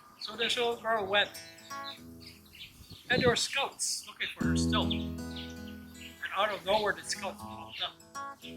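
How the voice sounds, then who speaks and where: With music playing in the background, a man speaks with long, frequent pauses. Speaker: community elder and knowledge keeper. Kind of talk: traditional storytelling.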